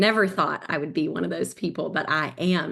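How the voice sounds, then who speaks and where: Vocal fry runs through this woman's voice, in an Appalachian accent. She talks at a fairly quick pace with ordinary pitch variation. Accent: Southern US (Appalachian). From US South, Southwest Virginia near Tennessee. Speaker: eating disorder survivor, nonprofit board member. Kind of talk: personal testimony in webinar.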